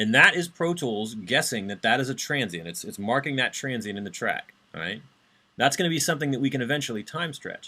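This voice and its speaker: Moving at a fairly quick pace, a man with medium pitch and a bright, sharp tone swings very widely in pitch. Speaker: university instructor. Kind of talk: lecture. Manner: fast. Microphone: webcam.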